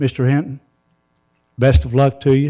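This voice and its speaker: At a moderate pace, a man speaks with a dark, mellow tone at a medium pitch. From US South. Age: 60s. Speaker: neighborhood association president. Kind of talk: public comment at council meeting. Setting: city council chamber.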